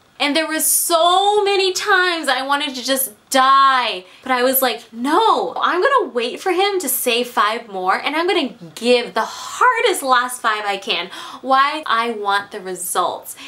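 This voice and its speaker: A woman's raised, projected voice moves through very wide pitch swings. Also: fairly slow pace. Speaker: fitness vlogger. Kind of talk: casual vlog chat. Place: home room. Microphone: camera far.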